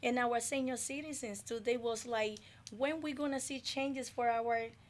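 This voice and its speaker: Fairly even intonation in a woman's high voice, delivered at a moderate speed. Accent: Dominican. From Dominican Republic. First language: Spanish. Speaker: community development advocate. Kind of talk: radio interview. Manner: halting.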